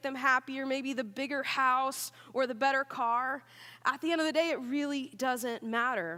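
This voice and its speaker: A woman with an American accent speaks in a raised, projected voice. Her high voice has a bright, sharp, animated tone. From Oklahoma. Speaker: student pastor. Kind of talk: sermon. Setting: church.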